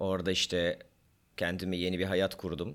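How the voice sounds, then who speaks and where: Moderate-paced male speech, very deep and low in pitch, on a very clean recording with a silent background. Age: 40s. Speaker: podcast co-host, doctor. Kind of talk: casual chat.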